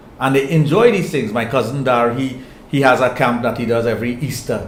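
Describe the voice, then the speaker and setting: Amid noticeable background noise and audible room echo, a man speaks at a medium pitch with a Trinidadian accent. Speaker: sexologist. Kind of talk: interview.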